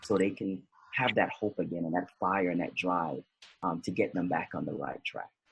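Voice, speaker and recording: A man with an American accent speaks at a moderate pace. His pitch is very deep and low, with ordinary variation. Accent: Jamaican-tinged North American. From US. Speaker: motivational speaker. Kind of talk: interview. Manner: halting, many fillers and repeats.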